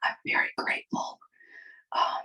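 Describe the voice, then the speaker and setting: Someone whispers with music in the background. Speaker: spiritual channel host. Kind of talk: casual interview conversation. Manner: whispered.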